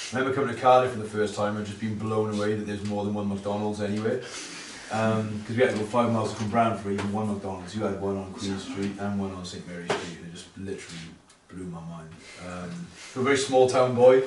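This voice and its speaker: Over noticeable background noise and audible room echo, a man with a fairly low pitch talks very fast with fairly even intonation and big swings in loudness. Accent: South Wales. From South Wales valleys, Pontypool. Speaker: pastor. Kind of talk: testimony.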